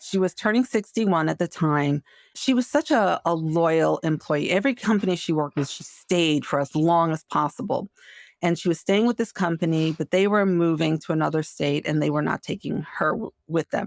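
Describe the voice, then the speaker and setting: A woman's normal speaking voice, fairly low in pitch with ordinary variation, at a moderate pace, with a dry, close sound, no echo, and a very clean recording over a silent background. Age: 60s. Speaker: marketing executive and career coach. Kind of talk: interview conversation. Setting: podcast.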